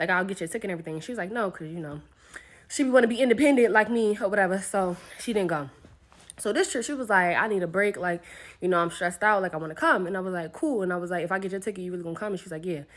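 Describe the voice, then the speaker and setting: A woman with an animated tone, very fast pace and ordinary pitch variation. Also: medium pitch for a woman. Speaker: travel influencer. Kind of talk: storytime rant.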